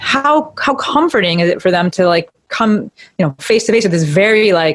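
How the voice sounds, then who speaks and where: At a moderate pace, a woman talks in a plain, everyday voice of medium pitch. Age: 30s. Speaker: physical therapist. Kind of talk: casual chat.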